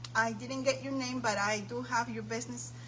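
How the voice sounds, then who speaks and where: The room echo is easy to hear as a woman talks. Background noise is clearly present too. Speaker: craft livestream host. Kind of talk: live stream chat. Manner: animated.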